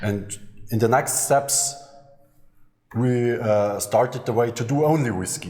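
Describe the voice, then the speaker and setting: A man speaks in a German accent at a fairly slow pace, with long, frequent pauses. His pitch is medium with ordinary variation, and the room echo is audible. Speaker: master distiller. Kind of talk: interview. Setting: on location at a distillery.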